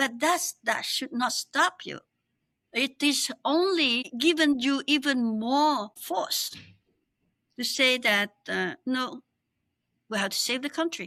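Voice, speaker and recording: A raised, projected voice with a bright, sharp tone, a very slow pace, long and frequent pauses, ordinary pitch variation and a dry, close sound without echo. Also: woman, high pitch for a woman. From Cambodia. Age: 70s. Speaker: exiled opposition politician. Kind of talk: interview.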